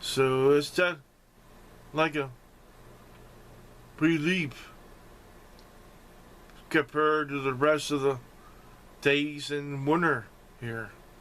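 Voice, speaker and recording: A man speaks at a very slow pace with a fairly high pitch, fairly even intonation, and long, frequent pauses. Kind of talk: casual talk to camera. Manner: slurred speech after a stroke.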